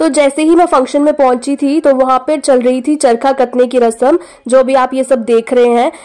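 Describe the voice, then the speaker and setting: High-pitched woman with a dark, mellow tone, fairly even intonation, moderate pace and hardly any pauses, against a quiet background. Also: very even loudness. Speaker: vlogger; vlogger guest at the wedding. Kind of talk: vlog narration. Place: home room. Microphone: phone near.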